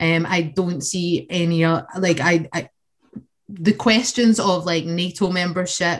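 A woman with a Scottish accent, fairly slow in pace, her intonation fairly even. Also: fairly low pitch for a woman. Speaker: socialist activist. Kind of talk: political discussion.

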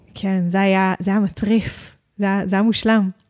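A woman's medium-pitched voice at a moderate pace with monotone, flat intonation. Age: 30s. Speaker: mermaid performer and business owner. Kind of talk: interview.

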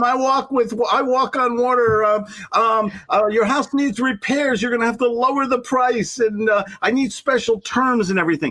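A man with an extremely high pitch uses a raised, projected voice. He keeps a moderate pace and ordinary pitch variation. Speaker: sales coach. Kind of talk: casual interview chat.

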